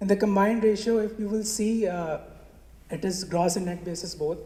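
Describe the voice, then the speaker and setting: Over noticeable background noise and audible room echo, a man with a high pitch speaks at a moderate pace with fairly even intonation. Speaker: management consultant presenting at a conference. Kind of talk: conference presentation. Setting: stage at a conference with audience. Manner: hesitant with many fillers. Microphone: gets quieter when moving away from the mic.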